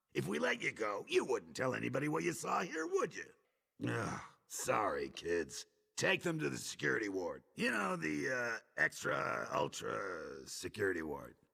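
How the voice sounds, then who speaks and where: Using a cartoonish character voice, a man talks in a raspy tone at a moderate pace. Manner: blustery, comedic.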